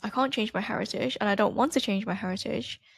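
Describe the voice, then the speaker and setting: A woman with an American accent is heard in a very clean recording with a silent background, the sound dry and close with no echo. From Asia, international school; later boarding school in Leeds. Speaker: podcast host, mindfulness teacher. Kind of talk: casual podcast monologue. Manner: calm, soothing.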